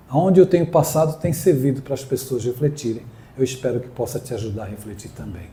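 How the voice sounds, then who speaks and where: A somewhat breathy male voice at medium pitch with a dark, mellow tone, a very fast pace and big swings in loudness. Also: ordinary pitch variation. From Brazil, São Paulo coast (Guarujá). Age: 60s. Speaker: spiritist speaker. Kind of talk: inspirational talk.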